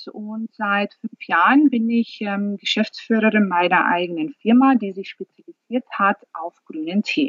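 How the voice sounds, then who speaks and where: A woman with a normal speaking voice at a fairly slow pace, ordinary pitch variation and hardly any pauses. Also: fairly high pitch for a woman. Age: 40s. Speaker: company founder. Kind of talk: interview.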